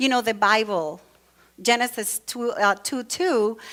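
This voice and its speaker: The voice has a Latin American accent and a bright, sharp tone. It moves at a fairly slow pace with ordinary pitch variation. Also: woman. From Venezuela. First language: Spanish. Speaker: church speaker. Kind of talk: sermon. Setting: church with congregation. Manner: conversational, with many fillers.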